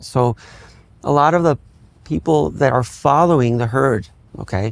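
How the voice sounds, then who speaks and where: With an American accent, a man speaks in a plain, everyday voice at medium pitch, his intonation lively. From Miami, Florida. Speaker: neurologist. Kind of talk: interview.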